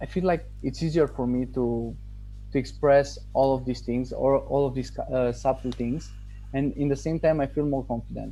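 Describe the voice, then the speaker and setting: Over music in the background, a man speaks in a Romanian accent. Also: moderate pace. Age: 20s. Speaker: English learner, online marketer. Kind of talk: testimonial interview. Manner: halting, with self-corrections.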